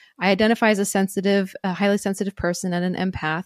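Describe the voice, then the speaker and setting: Speaking at a fairly quick pace, a woman with a medium-pitched voice comes through with a dry, close sound and no echo. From US Northeast. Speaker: author and herbalist. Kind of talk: interview about her book. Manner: calm, soothing.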